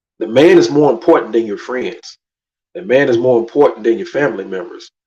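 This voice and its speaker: With ordinary pitch variation, the man talks at a medium pitch. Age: 40s. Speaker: YouTube commentator. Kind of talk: livestream rant. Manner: animated.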